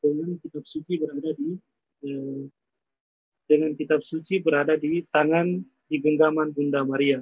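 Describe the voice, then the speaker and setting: Pausing long and often, a man speaks at a moderate pace in a flat monotone with fairly high pitch, in a dry, close sound with no echo. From Flores, Indonesia. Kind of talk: guided tour on live video call. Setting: outdoors at grotto, Zoom call. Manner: soft-spoken.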